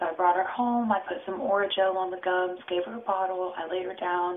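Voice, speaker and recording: A soft-spoken woman talks at a medium pitch with fairly even intonation. Noticeable noise sits in the background. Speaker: vlogger and mother. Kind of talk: casual vlog. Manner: quiet, soft-spoken. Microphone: too quiet.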